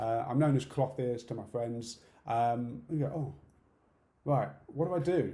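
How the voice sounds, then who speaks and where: A man talks at a fairly slow pace in a dark, mellow, somewhat breathy tone. Audible room echo surrounds his voice. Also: medium pitch for a man, ordinary pitch variation. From UK. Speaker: conference speaker, deaf accessibility campaigner. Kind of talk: conference talk. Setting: online conference talk.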